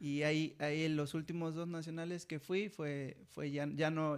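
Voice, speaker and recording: A fairly high-pitched man at a fairly slow pace, with fairly even intonation. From Mexico (Jilotepec). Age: 20s. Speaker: athlete. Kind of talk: casual interview. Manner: halting, many repeated words.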